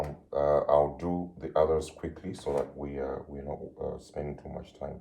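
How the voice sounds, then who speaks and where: Very deep and low, a man's voice has a dark, mellow tone and monotone, flat intonation at a moderate pace. His loudness swings widely, with audible room echo. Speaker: music teacher. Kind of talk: lecture.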